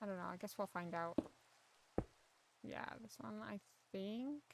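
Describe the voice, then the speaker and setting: A quiet woman's voice at medium pitch with ordinary pitch variation. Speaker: gaming streamer. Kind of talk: casual chat. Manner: soft-spoken.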